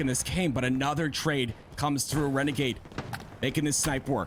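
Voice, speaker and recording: A man with a fairly high voice at a moderate pace, amid noticeable background noise. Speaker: esports caster. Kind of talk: live commentary.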